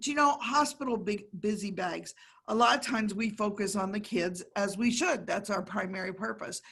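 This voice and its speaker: Speaking at a moderate pace with an American accent, a woman has a medium pitch, ordinary pitch variation and an animated tone. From Pennsylvania (Erie). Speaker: service club trustee presenting a workshop. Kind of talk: workshop presentation.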